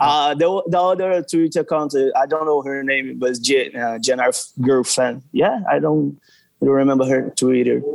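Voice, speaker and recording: With a Portuguese accent, a man talks at a fairly high pitch and moderate pace. His pitch variation is ordinary. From Brazil. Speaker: fan account runner. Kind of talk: casual chat. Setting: video call. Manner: halting.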